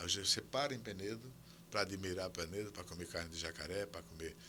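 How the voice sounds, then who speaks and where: Vocal fry marks this man's very deep, low voice, which has a bright, sharp tone and moves at a moderate pace. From Brazil, Alagoas (São Miguel dos Campos). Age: 80s+. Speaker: historian and professor. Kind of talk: interview conversation.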